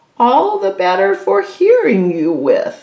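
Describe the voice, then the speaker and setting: The pace here is fairly slow. The speaker uses a put-on character voice. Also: woman. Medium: read story. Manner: sneaky.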